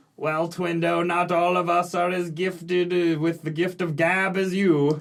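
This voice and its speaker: A man puts on a character voice, pitched high for a man, speaking at a moderate pace in a flat monotone. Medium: actual play. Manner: patronizing.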